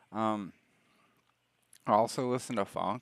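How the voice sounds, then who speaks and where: In a Southern US accent, a man speaks in a relaxed tone with a fairly low pitch and vocal fry. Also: dry, close sound with no echo, very clean recording, silent background. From US South, Alabama. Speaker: streamer. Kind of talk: casual chat. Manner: relaxed, rambling with fillers.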